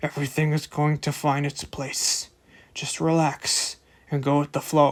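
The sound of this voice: A gruff, mumbling, put-on character voice at a low-to-middle pitch moves along at a moderate pace. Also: very clean recording, silent background.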